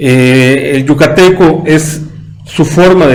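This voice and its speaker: A man talks with fairly even intonation. Noticeable background noise and audible room echo fill the recording. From Yucatán, Mexico. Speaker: history commentator on a talk show. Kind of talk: casual chat. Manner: halting.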